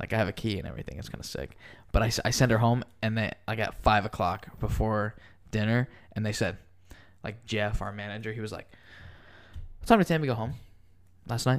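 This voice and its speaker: A man with vocal fry talks at a very fast pace yet with long, frequent pauses, his fairly low voice showing ordinary pitch variation and big swings in loudness on a very clean recording with a silent background. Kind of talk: casual chat.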